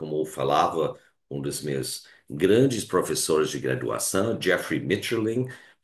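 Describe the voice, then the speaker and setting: At a very slow pace, a man with a very deep, low pitch and vocal fry moves through very wide pitch swings. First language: Hungarian (speaking Portuguese). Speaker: philosophy professor. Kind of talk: lecture. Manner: halting, many fillers.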